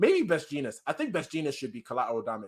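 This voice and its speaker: A man's fairly high voice with very wide pitch swings and an English accent. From England. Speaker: anime and manga streamer. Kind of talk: casual live-stream reaction chat. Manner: animated, casual.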